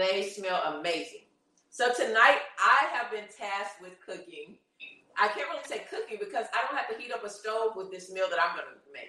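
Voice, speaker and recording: This is a normal speaking voice at a moderate pace. The intonation is lively. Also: woman. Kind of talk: casual chat. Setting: live cooking stream.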